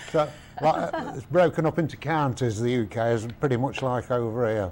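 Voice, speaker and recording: Medium-pitched male speech at a moderate pace with ordinary pitch variation, set against noticeable background noise. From Nottinghamshire, England (East Midlands, mining community). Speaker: visitor from England. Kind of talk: casual interview.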